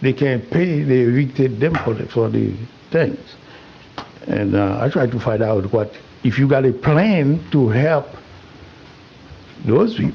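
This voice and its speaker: A man speaks at a medium pitch and a fairly slow pace, with ordinary pitch variation and noticeable background noise. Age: 80s+. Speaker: public commenter at council meeting. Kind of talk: public comment. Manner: halting.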